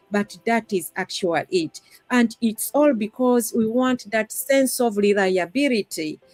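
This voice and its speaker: With a Ugandan accent, a woman speaks fairly slowly at a fairly high pitch with lively intonation, the sound dry and close with no echo. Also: hardly any pauses. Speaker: discussion panelist. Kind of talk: live-stream panel discussion.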